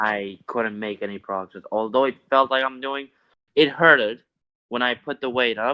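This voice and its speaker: A man with a non-native accent speaks at a medium pitch. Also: ordinary pitch variation, moderate pace. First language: not English. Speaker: discord member asking fitness questions. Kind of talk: casual Q&A chat. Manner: halting.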